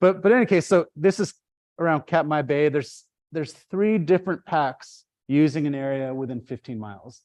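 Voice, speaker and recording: A man talks at a fairly quick pace. Nothing else can be heard in the quiet background. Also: fairly high pitch for a man, lively intonation. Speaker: ecology professor. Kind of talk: lecture. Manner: fast; animated.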